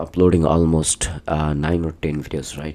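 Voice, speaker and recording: A man with a non-native accent speaks in a very deep, low voice with a dark, mellow tone. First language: not English. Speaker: vlogger. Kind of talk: casual vlog talk. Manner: halting.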